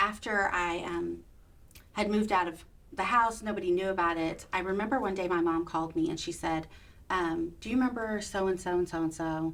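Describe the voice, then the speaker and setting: Talking at a fairly quick pace, a woman with a Texan accent keeps a medium pitch and ordinary pitch variation. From Texas. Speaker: abortion survivor sharing her story. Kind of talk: testimony. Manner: loud.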